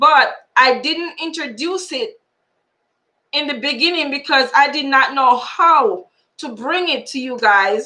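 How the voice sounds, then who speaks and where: A high-pitched woman's raised, projected voice, bright and sharp in tone, with lively intonation, big swings in loudness and a very slow pace. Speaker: lottery YouTuber. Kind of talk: live stream tutorial.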